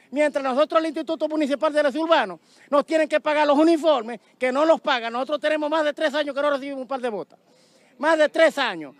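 Extremely high in pitch, a man's voice comes through a very clean recording with a silent background. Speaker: municipal sanitation worker, protester. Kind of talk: protest speech, angry demands to officials. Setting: outdoors at street protest, reporter interview. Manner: forceful, indignant.

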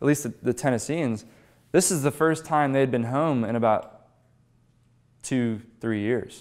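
Over a quiet background, a man with an American accent speaks at a moderate pace with ordinary pitch variation. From western Pennsylvania, Pittsburgh; Pennsylvania. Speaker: history speaker, former battlefield guide; speaker, former battlefield guide. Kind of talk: public history lecture. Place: meeting room. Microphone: lapel.

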